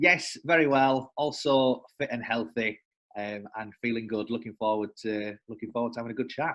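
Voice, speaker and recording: Over a quiet background, a man with a northern English accent talks at medium pitch and a moderate pace, with ordinary pitch variation. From northern England. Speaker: sales development representative. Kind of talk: casual interview. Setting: working from home.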